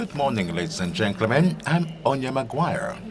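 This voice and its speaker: A man speaks at a fairly slow pace with a Dutch accent. His intonation is lively. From Netherlands. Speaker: startup representative. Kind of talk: sales pitch.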